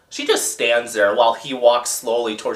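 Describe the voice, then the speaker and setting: A man is talking at a moderate pace. Noticeable background noise runs underneath. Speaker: movie review YouTuber. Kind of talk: casual movie recap. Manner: animated.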